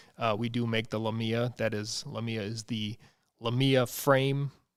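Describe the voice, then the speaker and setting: The speech is fairly slow with monotone, flat intonation, captured on a very clean recording with a silent background. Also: man. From US Midwest, central Wisconsin. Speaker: livestream host for an office furniture dealer. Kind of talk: casual livestream chat. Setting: livestream.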